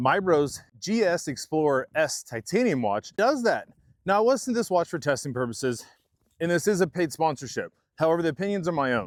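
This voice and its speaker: A man with a Kansas accent speaks at a fairly quick pace, his fairly high voice making very wide pitch swings. The sound is dry and close with no echo, in a very clean recording with a silent background. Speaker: tech reviewer. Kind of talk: product review. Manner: casual, conversational.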